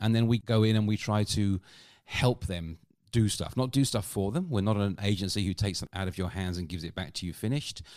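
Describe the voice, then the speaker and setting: Very fast speech with a British accent and ordinary pitch variation, on a very clean recording with a silent background. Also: man, fairly low pitch for a man. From UK. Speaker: customer experience consultant and comedian. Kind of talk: casual interview conversation.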